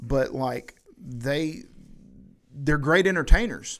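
In a very clean recording with a silent background, a man speaks in a medium-pitched voice with a Southern US accent. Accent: US South. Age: 30s. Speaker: podcast host. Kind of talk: casual chat.

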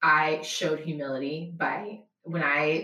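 In a room with audible echo, a woman speaks at a very deep, low pitch. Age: 20s. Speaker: nonprofit operations manager. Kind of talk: interview.

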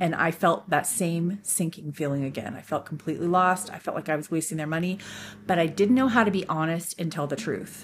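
Somewhat breathy, this voice moves at a fairly quick pace with ordinary pitch variation and a Californian accent. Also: woman, fairly low pitch for a woman. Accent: American (Californian). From Northern California. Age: 50s. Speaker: podcast host. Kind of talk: solo monologue podcast.

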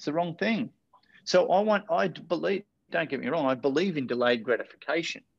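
The man has an Australian accent and makes very wide pitch swings. The sound is dry and close, with no echo. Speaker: motivational speaker and life coach. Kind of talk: interview. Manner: animated.

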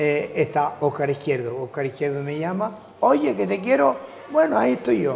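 A man with a fairly high pitch and lively intonation speaks at a moderate pace amid noticeable background noise. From Canary Islands, La Gomera (Agulo). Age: 70s. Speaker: former Olympic boxer. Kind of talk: interview. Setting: hotel.

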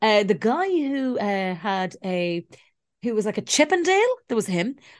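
A woman's fairly high voice at a moderate pace, with very wide pitch swings over a quiet background. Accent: Irish. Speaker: podcast co-host. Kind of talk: casual chat. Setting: video call.

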